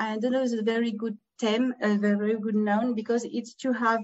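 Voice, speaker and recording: A woman speaks with a French accent in a fairly high, somewhat breathy voice. Her pace is moderate. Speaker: former Paralympian and event organizer. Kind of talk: webinar presentation. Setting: video call from home. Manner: halting, many fillers.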